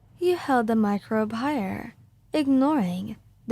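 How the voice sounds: A natural reading voice carries lively intonation.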